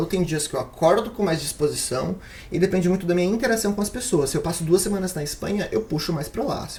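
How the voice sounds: Someone with a Brazilian accent talks at a very fast pace over noticeable background noise.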